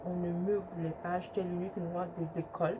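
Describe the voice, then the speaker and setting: Fairly slow speech from a woman, fairly low in pitch, amid audible room echo and noticeable background noise. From Ivory Coast, then Italy from age 8. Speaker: YouTuber. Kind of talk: storytime testimony. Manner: hesitant, many fillers.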